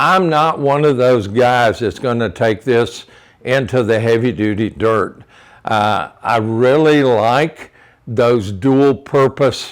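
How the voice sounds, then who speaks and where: The man talks at a very slow pace, at a medium pitch with ordinary pitch variation. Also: very even loudness. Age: 70s. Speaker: motorcycle vlogger. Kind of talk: casual product walkthrough. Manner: halting, many fillers.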